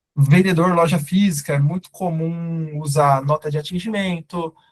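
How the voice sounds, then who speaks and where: A man's fairly high voice, monotone and flat, at a moderate pace, with a dry, close sound and no echo. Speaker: startup CEO and co-founder presenting a webinar. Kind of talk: webinar lecture. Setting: live online webinar with chat. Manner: casual, informal.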